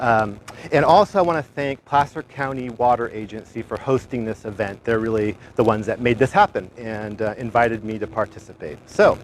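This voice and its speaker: Noticeable background noise surrounds a man speaking at a fairly quick pace. His medium-pitched voice has ordinary pitch variation. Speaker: master gardener program coordinator. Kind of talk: gardening demonstration. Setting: outdoors in a backyard garden, livestream. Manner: loud.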